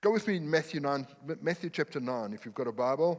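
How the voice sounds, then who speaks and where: A man talks at a fairly quick pace. He speaks with a non-native accent. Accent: noticeable foreign. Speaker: pastor. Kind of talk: sermon. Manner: animated.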